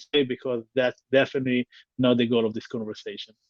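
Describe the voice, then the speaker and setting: A man's medium-pitched voice with an Israeli accent. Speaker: tech company founder. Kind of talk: interview. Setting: livestream. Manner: halting, repeats words.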